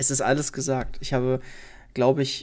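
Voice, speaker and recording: Vocal fry marks this man's medium-pitched voice as he talks at a fairly quick pace. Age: 20s. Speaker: podcaster and former let's player. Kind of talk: solo podcast monologue, unscripted. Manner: hesitant, many fillers.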